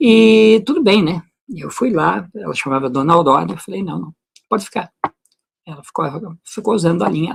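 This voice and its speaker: A man speaks in a high pitch with lively intonation. He leaves long, frequent pauses. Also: moderate pace, big swings in loudness. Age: 60s. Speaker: natural medicine presenter. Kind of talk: personal testimony. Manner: casual, conversational.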